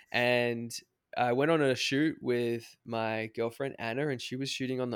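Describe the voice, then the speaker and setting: A man with an Australian accent speaks at a fairly slow pace and a medium pitch, in a very clean recording with a silent background and a dry, close sound with no echo. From Australia, Cairns, far north Queensland. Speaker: travel photographer and YouTube filmmaker. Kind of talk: casual interview. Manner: halting, many fillers and restarts.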